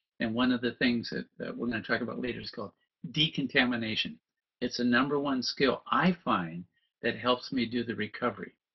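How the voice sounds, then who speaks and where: A man at a medium pitch and a fairly quick pace. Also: ordinary pitch variation. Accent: Californian. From US West Coast (Southern California). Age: 70s. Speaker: stress management trainer. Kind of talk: webinar presentation. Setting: online webinar.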